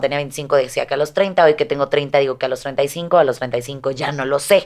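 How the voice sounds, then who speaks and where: The woman talks at a moderate pace, and the background is quiet. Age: 30s. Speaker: fitness vlogger. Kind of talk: casual interview. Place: studio. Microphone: studio mic.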